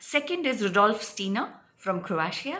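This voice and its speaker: A woman with a medium pitch speaks at a fairly slow pace with lively intonation. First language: not English. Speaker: spiritual healer and psychic reader. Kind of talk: casual explainer talk to camera. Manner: hesitant, many fillers.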